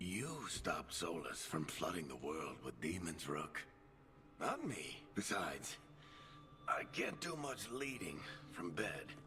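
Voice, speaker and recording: A man uses a put-on character voice with a very deep, low pitch at a fairly slow pace. Background noise is clearly audible. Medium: game stream. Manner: wry, gruff, warm.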